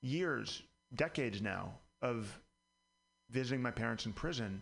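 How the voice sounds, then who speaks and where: With vocal fry, a man talks at medium pitch with ordinary pitch variation. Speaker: district attorney candidate. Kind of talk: radio interview. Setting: studio.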